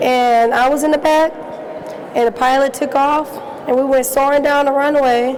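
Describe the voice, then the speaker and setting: An American accent comes through at a moderate pace. Noticeable background noise runs underneath. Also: woman. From Southern California. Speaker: airline pilot. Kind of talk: panel Q&A.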